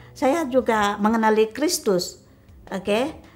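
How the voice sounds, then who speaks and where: Music plays in the background as a woman talks very slowly, her pitch fairly high with ordinary variation. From Sarawak, Malaysia (Melanau). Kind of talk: interview testimony. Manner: halting, many fillers.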